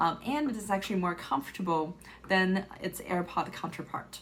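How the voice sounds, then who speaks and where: Somewhat breathy, a woman speaks with a Chinese accent. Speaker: tech reviewer. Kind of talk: product review.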